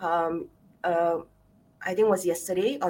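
A woman with a Singaporean accent, fairly low-pitched, at a moderate pace and with fairly even intonation. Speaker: clinical sexologist, show host. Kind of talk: casual chat. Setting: video call.

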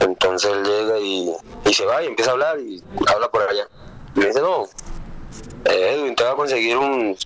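With music playing behind him, a man talks at a moderate pace, leaving long, frequent pauses. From Colombia, Cali (Valle del Cauca). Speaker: professional footballer. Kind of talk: interview.

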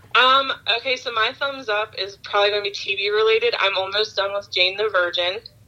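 With an American accent, the speaker talks at a fairly quick pace and with fairly even intonation over noticeable background noise. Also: woman, medium pitch for a woman. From Baltimore, Maryland. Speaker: fraud investigator and podcaster. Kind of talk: casual interview chat. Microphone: dropped out, switched off speakerphone.

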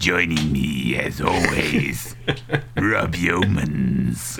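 A man's put-on character voice at a very slow pace, over clear background noise. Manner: sinister, theatrical.

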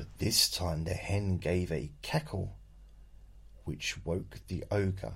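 Speaking at a very slow pace, a man with a very deep, low pitch, vocal fry and a playful tone uses lively intonation. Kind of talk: bedtime story reading aloud. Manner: playful, jokey, with sarcastic asides.

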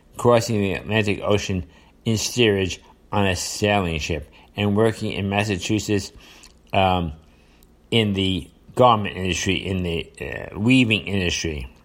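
A man with a New York accent and a fairly low pitch, ordinary pitch variation, a fairly slow pace and long, frequent pauses, on a very clean recording with a silent background. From New York area, US. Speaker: podcast host. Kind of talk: solo monologue commentary on current events. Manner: hesitant, filler-heavy, repeats words.

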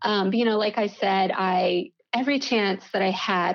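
Against a quiet background, a woman with an American accent speaks in an unremarkable speaking voice at a medium pitch with ordinary pitch variation. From US South, Mississippi. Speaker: tea company owner. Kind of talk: interview podcast.

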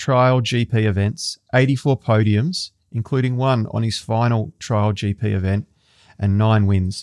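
A man with an Australian accent, medium in pitch, fairly slow, ordinary pitch variation, dry and close with no echo, in a very clean recording with a silent background. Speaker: podcast host. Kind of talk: scripted intro; interview.

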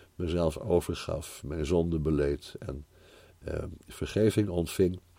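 A man's very deep, low voice with a dark, mellow tone at a very slow pace. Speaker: Bible teacher. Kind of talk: improvised personal testimony. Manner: halting.

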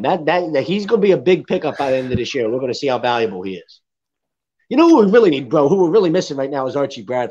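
Very rapid male speech, quiet surroundings. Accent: Philadelphia. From Philadelphia area. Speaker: sports podcast co-host. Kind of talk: casual sports talk podcast. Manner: loud, projecting; animated, excitable.

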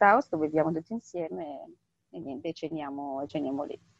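A woman's fairly low-pitched voice, dark and mellow in tone, with fairly even intonation and a dry, close sound with no echo. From northern Italy, Bergamo. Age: 30s. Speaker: humanitarian aid worker. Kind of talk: interview.

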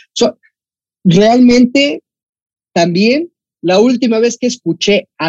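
A man speaks with a Mexican accent, a dark, mellow tone and lively intonation, in a dry, close sound with no echo. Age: 20s. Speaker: football podcast host. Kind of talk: casual chat.

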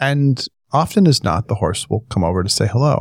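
In an American accent, a man talks at a fairly quick pace with a medium pitch and very wide pitch swings. The recording is very clean with a silent background, and the sound is dry and close with no echo. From Northern California. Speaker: podcast co-host. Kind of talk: casual chat.

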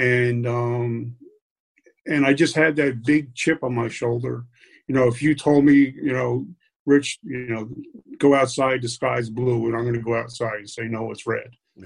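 A medium-pitched man at a fairly slow pace, with fairly even intonation and big swings in loudness. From New York City area. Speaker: military veteran. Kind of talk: interview. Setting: at home, kitchen table.

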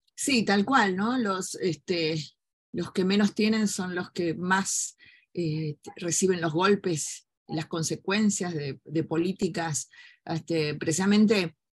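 Each word comes very slowly. There is a somewhat breathy quality to the voice. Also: woman, medium pitch for a woman, ordinary pitch variation. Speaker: human rights lawyer and journalist. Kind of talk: interview conversation.

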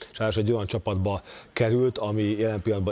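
Talking at a very fast pace, a man has a fairly low pitch and a dark, mellow tone. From Hungary. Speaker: former NBA player, basketball pundit. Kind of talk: casual chat.

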